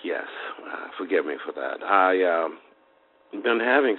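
Noticeable background noise runs behind this man as he speaks. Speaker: caller. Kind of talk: personal account of symptoms. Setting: phone call.

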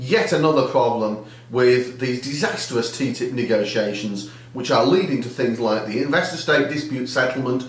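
His voice carries audible room echo. The man's delivery moves at a moderate pace. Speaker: politician. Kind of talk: video diary commentary. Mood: critical, earnest.

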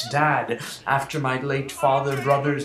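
With faint music in the background and audible room echo, a man speaks at a fairly slow pace. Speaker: comedic spam reader. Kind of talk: theatrical reading of an email. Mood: mock-pleading, melodramatic. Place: home room. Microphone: webcam.

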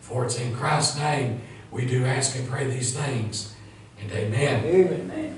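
Strong room echo and light background noise surround a man with an American accent, a fairly high pitch and lively intonation, speaking at a fairly slow pace. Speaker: pastor. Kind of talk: sermon. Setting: church. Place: church. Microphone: camera far.

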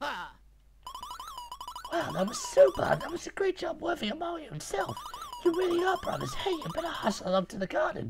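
In a put-on character voice with an extremely high pitch, the speaker moves at a fairly quick pace broken by long, frequent pauses. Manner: cheerful, praising.

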